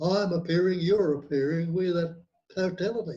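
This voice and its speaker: With an Australian accent, a man talks at a moderate pace in a high-pitched, dark, mellow voice with fairly even intonation. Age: 80s+. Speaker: nonduality teacher. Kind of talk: interview.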